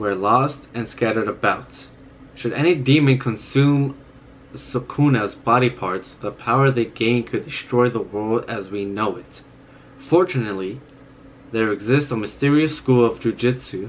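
There is light background noise behind a man's voice. He speaks at a moderate pace with ordinary pitch variation. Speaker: anime reaction youtuber. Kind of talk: casual vlog chat, reading aloud. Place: home room.

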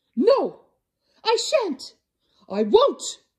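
Doing a put-on character voice, a woman speaks at a very slow pace in an extremely high pitch with very wide pitch swings and a slightly mellow tone.

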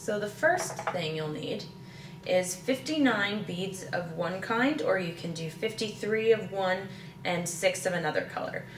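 A woman at a very slow pace, with light background noise and audible room echo. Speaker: presenter. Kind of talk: tutorial. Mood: calm, gentle. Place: kitchen.

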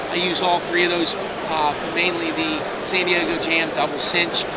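A man speaks over loud background noise. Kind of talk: interview answer. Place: hall.

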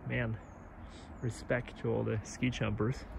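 A somewhat breathy male voice, dry with no echo, over light background noise. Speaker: vlogger filming a tour. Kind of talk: casual vlog chat. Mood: awed, relaxed. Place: open country. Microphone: phone near.

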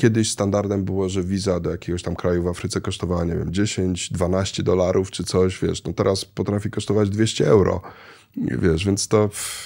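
A man's fairly low-pitched voice, dark and mellow in tone, at a moderate pace against a quiet background. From Poland, childhood partly in Kenya. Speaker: traveller and real estate investor; guest. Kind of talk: casual interview. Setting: studio. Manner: halting, many fillers. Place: studio. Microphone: studio mic.

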